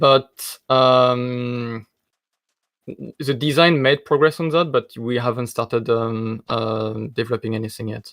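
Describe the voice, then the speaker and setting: A man with a strong French accent at medium pitch, fairly slow and fairly even in intonation, in a dry, close sound with no echo. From France. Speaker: game designer. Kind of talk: interview on live stream. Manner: hesitant, many fillers.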